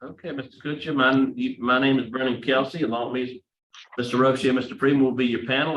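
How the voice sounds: With audible room echo, a man speaks fast at a medium pitch, his intonation fairly even and his tone fairly bright.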